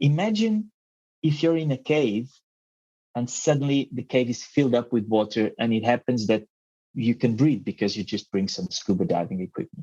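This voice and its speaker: This man has a non-native accent and a dark, mellow tone. His intonation is lively, and the sound is dry and close with no echo. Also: medium pitch for a man, moderate pace. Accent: non-native, noticeable. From Mozambique and Portugal. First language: Portuguese. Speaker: marine researcher. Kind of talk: interview. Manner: halting, many fillers.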